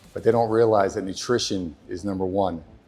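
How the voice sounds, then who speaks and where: Over music in the background, a man speaks at a fairly low pitch in a monotone with flat intonation. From New Jersey, US. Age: 60s. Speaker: fitness coach. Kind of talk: interview monologue.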